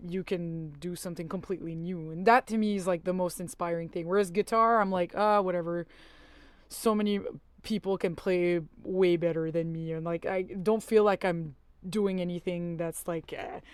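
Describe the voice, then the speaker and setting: In a very clean recording with a silent background, a woman speaks with a French accent. Her fairly low voice moves at a moderate pace with fairly even intonation. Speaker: musician. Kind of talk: interview. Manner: halting, many fillers.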